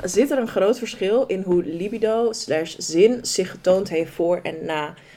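A woman with a medium pitch talks at a very slow pace, her intonation lively. Noticeable background noise sits behind her. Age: 20s. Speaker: podcast co-host. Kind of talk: casual chat.

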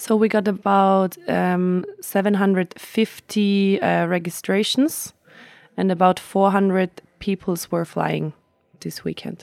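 The speech comes in a German accent at a very slow pace with fairly even intonation. The recording is very clean, with a silent background. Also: woman, medium pitch for a woman. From Austria, Tyrol. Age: 20s. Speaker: flight instructor and event organizer. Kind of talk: interview. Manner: hesitant, with fillers.

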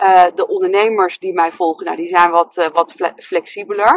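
A woman at a moderate pace, in a dry, close sound with no echo. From Netherlands, Nijmegen. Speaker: love coach and therapist. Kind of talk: casual monologue. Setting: in a car.

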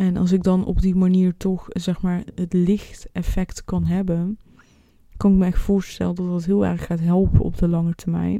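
This woman talks at a moderate pace in a dark, mellow tone with a flat, monotone intonation. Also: medium pitch for a woman. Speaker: podcast host. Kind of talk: solo podcast monologue. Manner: halting, many fillers.

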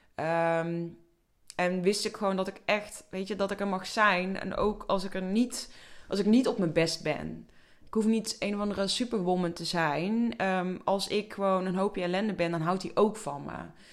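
A woman speaks in a plain, everyday voice at a moderate pace, with medium pitch and fairly even intonation. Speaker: podcast host and coach. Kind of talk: personal storytelling monologue.

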